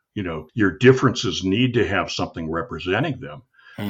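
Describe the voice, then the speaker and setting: Somewhat breathy and fairly low in pitch, a man speaks at a fairly quick pace with lively intonation. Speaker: marketing podcast host. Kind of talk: casual conversation about marketing.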